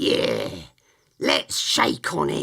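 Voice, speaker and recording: A man puts on a raspy character voice. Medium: read story. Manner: blunt, homely, uses dialect grammar.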